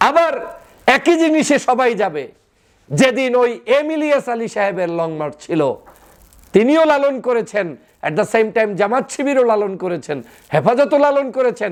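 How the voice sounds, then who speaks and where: This man's voice is extremely high-pitched. His pitch swings very widely. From Bangladesh. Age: 30s. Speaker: political commentator. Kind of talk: political commentary monologue.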